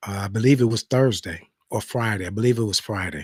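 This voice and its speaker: Somewhat breathy and medium in pitch, a man's voice moves with ordinary pitch variation. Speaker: talk show host. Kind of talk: casual monologue.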